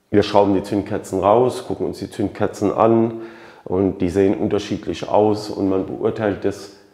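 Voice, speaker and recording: A man with a fairly low pitch and a dark, mellow tone talks at a moderate pace with fairly even intonation. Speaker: motorcycle mechanic YouTuber. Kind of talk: tutorial. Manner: casual with many fillers.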